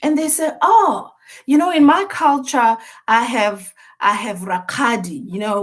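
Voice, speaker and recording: Using lively intonation, a woman with a Botswana accent speaks at a fairly slow pace. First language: Setswana. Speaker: mental health expert. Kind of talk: interview.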